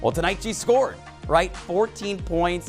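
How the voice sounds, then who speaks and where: A man speaks in an upbeat, playful tone over background music. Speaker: TV sports reporter and anchor. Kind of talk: sports anchor read to camera. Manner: upbeat, playful, punchy.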